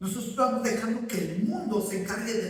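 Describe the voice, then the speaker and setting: Amid noticeable background noise and audible room echo, a man speaks at a high pitch and a fairly quick pace. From Ecuador. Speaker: pastor. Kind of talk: sermon.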